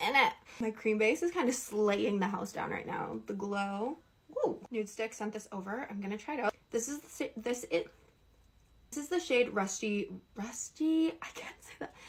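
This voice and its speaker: A woman's fairly high voice, lively in intonation, at a moderate pace over noticeable background noise. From Canada. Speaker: beauty influencer. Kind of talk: makeup tutorial. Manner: casual, chatty.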